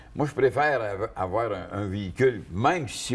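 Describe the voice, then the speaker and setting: A man speaks in a Quebec accent with a somewhat breathy voice. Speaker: car columnist. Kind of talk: casual panel discussion. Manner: halting, many repetitions.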